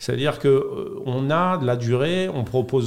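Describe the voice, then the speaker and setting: Audible room echo around a man's speech, medium-pitched, at a moderate pace. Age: 40s. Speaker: podcast studio founder. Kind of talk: interview. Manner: hesitant with fillers.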